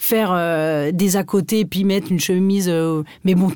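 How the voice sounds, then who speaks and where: Fairly slow and dark, mellow in tone, this woman's voice sits at a medium pitch. The recording is very clean, with a silent background. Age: 20s. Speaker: fashion blogger and comedy YouTuber. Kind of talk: casual chat.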